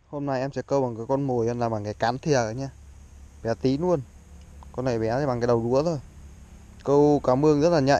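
Dark, mellow tone from a man at a fairly quick pace, with fairly even intonation and a dry sound with no echo. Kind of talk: casual vlog chat. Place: waterside. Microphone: phone near.

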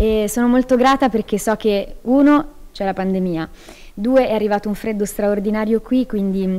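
Speaking at a fairly quick pace, a woman keeps her intonation fairly even. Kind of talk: interview answer. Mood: grateful, warm. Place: hall. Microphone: handheld.

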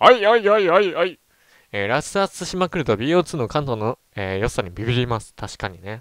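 At a moderate pace, the voice swings very widely in pitch, captured in a very clean recording with a silent background and a dry, close sound with no echo. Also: man. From Japan, Ehime. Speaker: gaming streamer. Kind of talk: casual chat. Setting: livestream.

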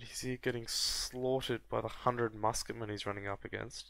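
A man's medium-pitched voice at a moderate pace, monotone and flat in intonation. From Australia. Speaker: gaming youtuber. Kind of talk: gameplay commentary.

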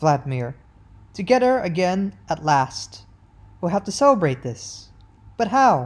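What you hear is plain reading aloud.

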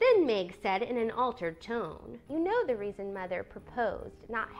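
What is heard is plain reading aloud.

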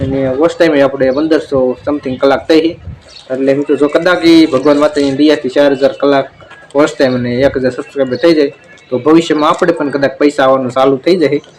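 Amid noticeable background noise, a man talks at a fairly high pitch with monotone, flat intonation. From Saurashtra, Gujarat (Rajkot district, rural). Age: 20s. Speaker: village vlogger and farmer. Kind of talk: casual Q&A vlog.

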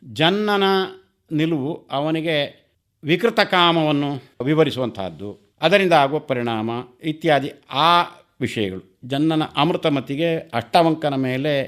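A man with a normal speaking voice, fairly high in pitch, talks with lively intonation in a very clean recording with a silent background. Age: 60s. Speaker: retired Kannada scholar and teacher. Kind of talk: radio interview, reminiscence.

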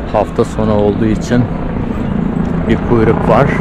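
A man at a fairly slow pace, dry sound with no echo, loud background noise behind him. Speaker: vlogger. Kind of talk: walking tour vlog, casual guided commentary to camera. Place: street. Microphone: phone near.

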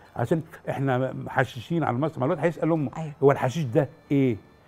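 With a dark, mellow tone, a man talks fairly quickly in a fairly high voice with ordinary pitch variation. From Egypt, Damietta; Egypt. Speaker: actor. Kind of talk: interview. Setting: studio. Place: studio. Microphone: lapel.

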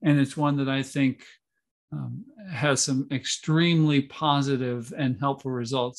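The background is quiet. The speaker is a man. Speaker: church official; webinar host or presenter. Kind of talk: workshop hosting. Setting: video call. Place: home room. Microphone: video call.

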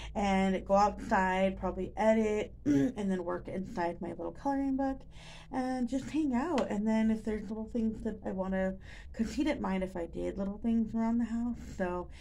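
Somewhat breathy and at a moderate pace, the voice shows ordinary pitch variation over light background noise. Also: woman. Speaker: vlogger. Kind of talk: casual vlog chat. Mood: relaxed and chatty. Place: kitchen. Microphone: phone near.

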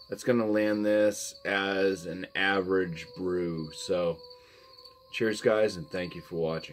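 Light background noise runs beneath a man whose pitch is fairly low. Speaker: beer reviewer. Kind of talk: casual review vlog. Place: home room. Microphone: phone near.

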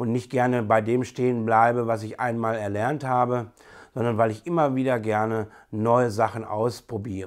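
A normal speaking voice from a man at a medium pitch, moving at a moderate pace with fairly even intonation over a quiet background. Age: 30s. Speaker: bus driver and hobby landscape photographer. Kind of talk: personal introduction video. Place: home room.

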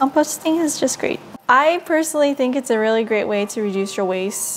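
A woman keeps a moderate pace as music sounds behind her. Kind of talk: casual cooking tutorial chat. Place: kitchen.

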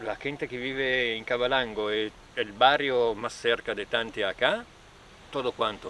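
Here a man has an unremarkable speaking voice at medium pitch, with fairly even intonation and a fairly slow pace. The sound is dry with no echo, with light background noise. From northern Italy, Trento province Alps. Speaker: local resident. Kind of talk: interview. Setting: outdoors. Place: open country. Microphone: phone near.

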